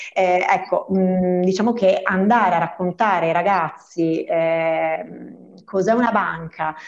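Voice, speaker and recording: A woman speaks at a very slow pace and medium pitch. Her loudness is very even, and her intonation fairly even. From Veneto, province of Treviso. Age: 40s. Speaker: bank employee. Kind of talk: radio interview.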